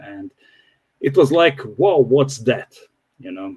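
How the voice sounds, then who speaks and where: A man with a non-native accent speaks fairly slowly with ordinary pitch variation, in a dry, close sound with no echo. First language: not English. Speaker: crypto project developer, former pilot. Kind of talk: interview. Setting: livestream. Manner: halting.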